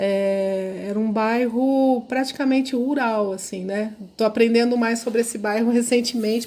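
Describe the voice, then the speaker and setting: A woman's fairly high voice with a dark, mellow tone, fairly even intonation, moderate pace and hardly any pauses. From interior of São Paulo state, Brazil (Araçatuba). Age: 50s. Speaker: professor of social work. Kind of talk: podcast interview, life story. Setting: podcast recording.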